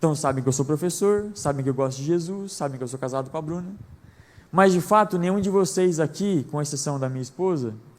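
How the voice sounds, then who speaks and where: With a fairly high pitch and ordinary pitch variation, a man talks at a fairly quick pace. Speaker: preacher. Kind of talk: sermon. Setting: church service. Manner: fast.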